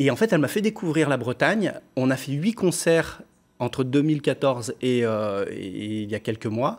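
A man's lively intonation at a fairly slow pace. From France, Lyon; France. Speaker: pop singer; interviewee. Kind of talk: TV interview. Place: studio.

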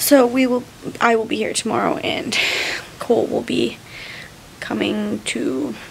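Light background noise sits behind a woman speaking at a fairly slow pace. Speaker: new mother vlogger. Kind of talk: casual vlog chat. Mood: tender, content. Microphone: phone near.

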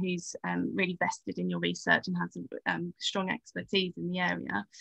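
A woman with a British accent at a fairly quick pace, in a dry sound with no echo against a quiet background. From England. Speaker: teacher and education researcher. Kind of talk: casual interview. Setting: video call. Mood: thoughtful, earnest. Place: home room. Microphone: video call.

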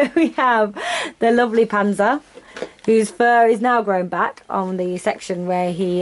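Moderately paced speech from a woman, her pitch varying in an ordinary way. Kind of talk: casual vlog chat. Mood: warm, affectionate. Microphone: phone near.

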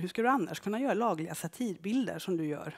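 At a very fast pace, a woman speaks at medium pitch against a quiet background. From Skara, western Sweden; western Sweden. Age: 50s. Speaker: photographer. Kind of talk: public talk with slides. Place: stage. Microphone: headset.

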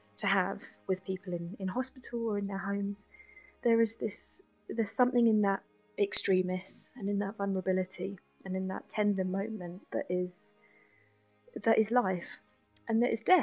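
With music in the background, a woman with a London accent speaks at a medium pitch and fairly even intonation, leaving long, frequent pauses. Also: moderate pace. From south London. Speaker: nurse and spoken word poet. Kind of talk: interview answer.

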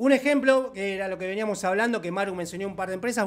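With a Rioplatense accent, a man speaks in an animated tone at a high pitch with ordinary pitch variation. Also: quiet background. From Argentina. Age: 40s. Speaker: online course instructor. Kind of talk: live online class. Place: home room. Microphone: studio mic.

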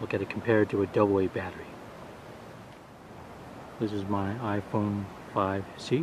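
A man talks in a monotone, flat intonation. Noticeable background noise is present. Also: dry sound with no echo. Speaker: gear reviewer. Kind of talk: tutorial. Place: beach. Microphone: phone near.

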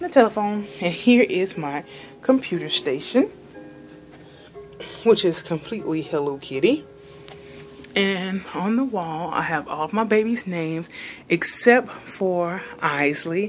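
Faint music plays as a woman talks at a fairly slow pace, with long, frequent pauses. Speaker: home room tour narrator. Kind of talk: casual vlog chat. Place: home room. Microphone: phone near.

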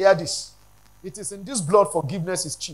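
A man speaks at a fairly quick pace. His pitch is high, with ordinary pitch variation.

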